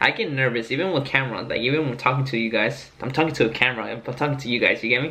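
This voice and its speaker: The man talks very fast at a medium pitch. His pitch varies in an ordinary way. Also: hardly any pauses. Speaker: car enthusiast vlogger. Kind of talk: casual vlog talk to camera. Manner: halting, frequent filler uh.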